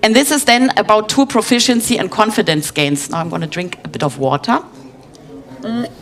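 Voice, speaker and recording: Over noticeable background noise, a woman with a fairly high pitch talks at a fairly quick pace with very wide pitch swings. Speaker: conference speaker, head of UX design. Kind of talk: conference talk. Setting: stage with audience. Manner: hesitant, many fillers.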